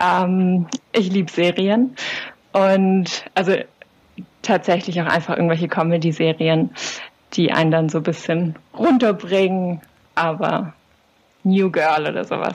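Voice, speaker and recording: A woman with a fairly low pitch speaks at a fairly slow pace, leaving long, frequent pauses, her intonation fairly even over noticeable background noise. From southern Germany, Swabian Jura. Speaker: psychologist and doctoral researcher. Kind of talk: interview. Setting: video call.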